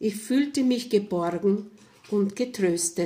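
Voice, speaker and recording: The voice is somewhat breathy, with ordinary pitch variation and a very slow pace. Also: woman. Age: 70s. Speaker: storyteller. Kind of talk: testimony. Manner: calm, reflective.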